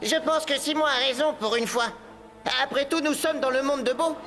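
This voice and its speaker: A put-on character voice comes through at a high pitch and a fairly quick pace. Clear background noise runs underneath. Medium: fan dub. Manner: analytical, matter-of-fact.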